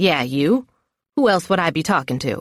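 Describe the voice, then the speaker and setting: A growling, put-on character voice at a middle pitch, spoken at a moderate pace. The recording is very clean, with a silent background. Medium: read story. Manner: good-natured, teasing.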